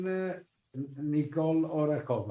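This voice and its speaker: Speech comes at a very slow pace, with audible room echo. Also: man. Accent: non-native. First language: Italian. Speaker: conference moderator. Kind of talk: conference moderation. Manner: halting.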